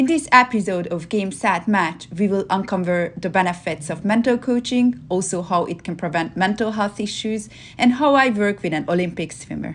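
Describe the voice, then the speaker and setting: A woman speaks with a Hungarian accent at a medium pitch and moderate pace. Her pitch varies in an ordinary way against a quiet background. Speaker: performance coach. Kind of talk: scripted intro.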